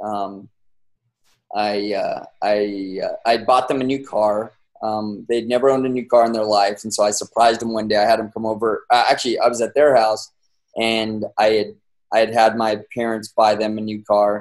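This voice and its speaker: A man talks at a moderate pace and medium pitch with an American accent. His intonation is monotone and flat, and the background is quiet. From US West (San Bernardino, California); California. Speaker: entrepreneur, brand founder; guest. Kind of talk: interview, casual storytelling. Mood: relaxed storytelling. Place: home room. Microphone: webcam.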